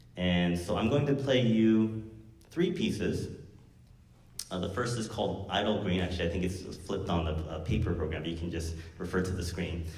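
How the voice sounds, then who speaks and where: A man talks at a moderate pace with a very deep, low pitch and ordinary pitch variation. Audible room echo and noticeable background noise surround him. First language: Korean. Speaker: university music professor and guitarist. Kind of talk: spoken introduction at a concert. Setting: stage with live audience. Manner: casual, hesitant with many fillers.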